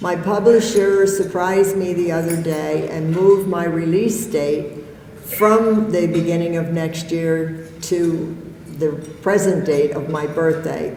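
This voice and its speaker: Speech comes at a fairly slow pace with fairly even intonation. Audible room echo and noticeable background noise surround it. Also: woman, fairly low pitch for a woman. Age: 70s. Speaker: author and poet. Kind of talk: motivational speech. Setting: stage with audience.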